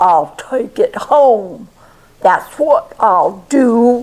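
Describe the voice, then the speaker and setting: The put-on character voice sits at a fairly high pitch. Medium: read story. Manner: jolly.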